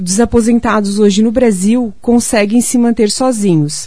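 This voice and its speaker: Her tone is dark and mellow as this woman speaks at a fairly high pitch. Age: 30s. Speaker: pension fund sales agent. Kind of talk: sales pitch on radio. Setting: radio studio.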